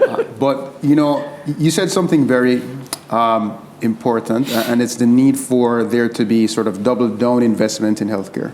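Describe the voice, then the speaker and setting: Someone with a Caribbean accent speaks at a moderate pace with ordinary pitch variation over noticeable background noise. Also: man, medium pitch for a man. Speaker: medical doctor and panelist. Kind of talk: panel discussion. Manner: halting, repeats words.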